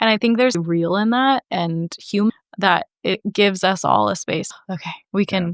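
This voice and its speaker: A woman with a Midwestern American accent, medium in pitch, at a moderate pace with ordinary pitch variation, in a dry, close sound with no echo and a quiet background. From Franklin, Indiana. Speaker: school counselor. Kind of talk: interview answer. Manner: casual, candid.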